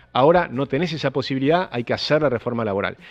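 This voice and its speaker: A man speaks in a Rioplatense accent. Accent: Argentine Rioplatense Spanish. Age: 60s. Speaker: economist. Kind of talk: panel interview.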